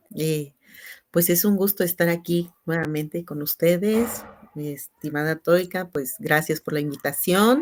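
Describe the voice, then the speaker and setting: Her pitch is fairly low, with ordinary variation, as this woman speaks at a fairly slow pace. She talks with a Chiapas accent. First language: Tzeltal (speaking Spanish). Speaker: teacher and translator. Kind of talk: panel discussion. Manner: halting.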